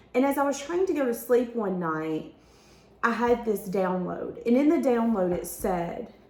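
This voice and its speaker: A woman is speaking. Room echo is audible. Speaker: tarot reader. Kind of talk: tarot reading.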